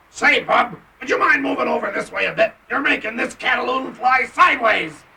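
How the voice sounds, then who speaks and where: In a cartoonish character voice, a man talks at a moderate pace with an extremely high pitch. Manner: wisecracking.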